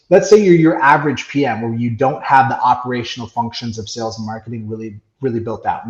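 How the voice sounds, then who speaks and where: A man speaks at a fairly quick pace in a medium-pitched, somewhat breathy voice. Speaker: software company CEO and business coach. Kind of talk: podcast interview. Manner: fast.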